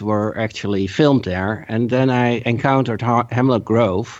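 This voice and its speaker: A man with a Dutch accent speaks at a medium pitch. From Netherlands. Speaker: podcast listener and patron. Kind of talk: casual chat. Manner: halting.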